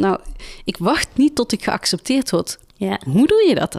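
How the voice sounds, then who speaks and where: A woman speaks at a very slow pace, with a dry, close sound and no echo. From Tilburg. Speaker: podcast host. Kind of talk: interview.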